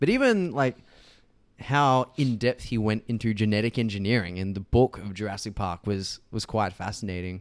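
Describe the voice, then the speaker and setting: The recording is very clean, with a silent background. A man talks at a moderate pace in a fairly low pitch with ordinary pitch variation. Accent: Australian. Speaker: podcast co-host. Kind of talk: casual chat.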